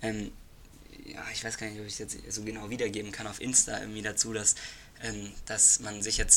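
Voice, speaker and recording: In a fairly low register, this man delivers his words at a moderate pace with flat, monotone intonation. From Reutlingen area, Swabia, Germany. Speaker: podcast co-host. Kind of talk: casual chat. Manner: halting.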